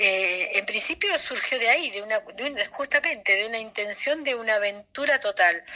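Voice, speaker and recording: Hardly pausing, a woman with a fairly high pitch and lively intonation talks over noticeable background noise. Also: moderate pace. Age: 60s. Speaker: anthropologist. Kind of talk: interview. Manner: halting, many fillers and repetitions.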